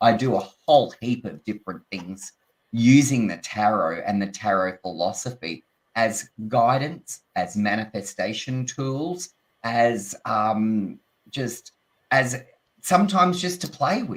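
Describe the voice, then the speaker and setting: A man with an Australian accent, at a fairly slow pace. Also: medium pitch for a man, lively intonation. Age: 60s. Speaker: tarot reader and teacher. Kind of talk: casual chat.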